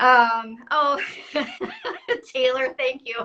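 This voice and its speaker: A woman with an American accent projects a raised, high-pitched voice with a bright, sharp tone, speaking at a very slow pace. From US South. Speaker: artist and online art teacher. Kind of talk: casual interview on a live stream. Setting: live video stream from a computer. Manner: animated.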